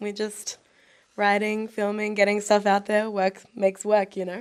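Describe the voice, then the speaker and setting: A woman speaks with an Australian accent at a medium pitch. Her delivery is fairly quick, with monotone, flat intonation. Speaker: actor. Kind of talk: casual chat.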